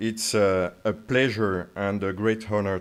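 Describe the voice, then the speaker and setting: Speaking with a French accent, a man keeps a fairly slow pace and fairly even intonation. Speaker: military officer. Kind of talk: lecture. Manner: halting, many fillers.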